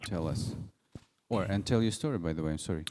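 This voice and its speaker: A man speaks with a Russian accent and a dark, mellow tone. His pitch varies in an ordinary way. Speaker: event host at music school. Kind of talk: public talk moderation.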